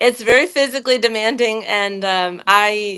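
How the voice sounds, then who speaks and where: With a Texan accent, a woman speaks at a moderate pace and medium pitch with fairly even intonation, on a very clean recording with a silent background. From Texas, near Galveston. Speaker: animal and human chiropractor. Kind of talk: interview.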